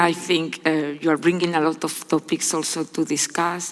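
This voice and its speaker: A woman's fairly low, monotone voice with flat intonation at a moderate pace over noticeable background noise. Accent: Spanish. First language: Spanish. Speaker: panel moderator. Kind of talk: moderating a conference panel.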